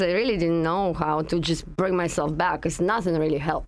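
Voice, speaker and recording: A woman's fairly low voice in a Russian accent at a fairly quick pace, on a very clean recording with a silent background. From Russia (Russian Far East). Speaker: energy healing practitioner. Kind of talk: interview conversation.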